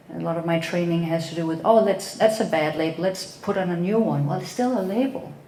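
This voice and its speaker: The speaker talks at a fairly quick pace with a Danish accent and ordinary pitch variation, amid audible room echo and noticeable background noise. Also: woman. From Denmark. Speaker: psychotherapist. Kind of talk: talk to an audience. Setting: event talk with audience.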